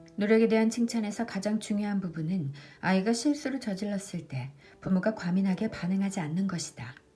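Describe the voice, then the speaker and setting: A woman's voice with music in the background. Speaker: audiobook reader, book vlogger. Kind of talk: audiobook reading.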